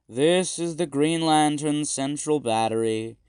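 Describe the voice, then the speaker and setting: Fairly slow pace and fairly high pitch in a man's put-on character voice. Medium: read story. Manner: plain, instructive.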